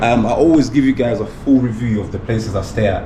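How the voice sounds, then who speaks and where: A man talks at a moderate pace, his voice carrying audible room echo amid noticeable background noise. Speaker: travel vlogger. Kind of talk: casual vlog to camera. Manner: mumbling.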